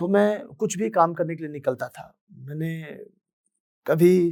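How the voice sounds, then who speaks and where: A man's voice comes through on a very clean recording, the background completely silent. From Bihar, Madhubani district (Mithila). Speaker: singer. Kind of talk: motivational talk, personal story.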